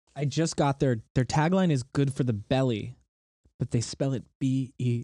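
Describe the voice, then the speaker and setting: The voice has a dark, mellow tone, somewhat breathy, with ordinary pitch variation. The sound is dry and close with no echo, on a very clean recording with a silent background. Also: man. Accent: American. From northern Connecticut, US. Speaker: soda maker, business owner. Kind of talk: casual chat. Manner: halting.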